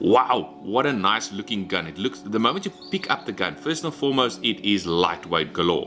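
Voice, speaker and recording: With music in the background, a man of fairly low pitch talks at a moderate pace, using very wide pitch swings and hardly any pauses. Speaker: airgun reviewer. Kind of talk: product review. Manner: animated.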